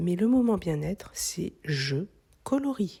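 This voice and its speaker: Calm in tone, a woman speaks in a somewhat breathy voice. Her pitch swings very widely. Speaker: craft content creator. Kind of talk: reflective voice-over narration.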